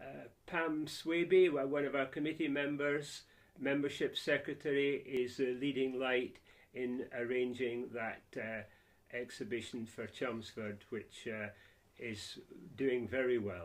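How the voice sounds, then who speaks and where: A man with a Scottish accent, medium pitch and ordinary pitch variation. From Scotland, Scottish Borders (Peeblesshire). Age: 70s. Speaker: civic society chairman. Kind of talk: interview.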